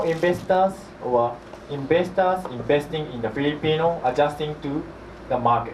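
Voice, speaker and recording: A man with a Japanese accent speaks at a moderate pace and a fairly high pitch with lively intonation. Audible room echo and noticeable background noise come through. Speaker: property manager, company executive. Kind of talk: seminar presentation. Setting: seminar with audience. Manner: halting.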